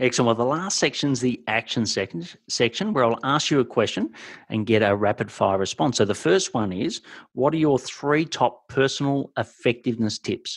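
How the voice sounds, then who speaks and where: Lively intonation from a man with a strong Australian accent, medium in pitch, at a moderate pace, on a very clean recording with a silent background. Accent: broad Australian. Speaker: podcast host and business mentor. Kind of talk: interview.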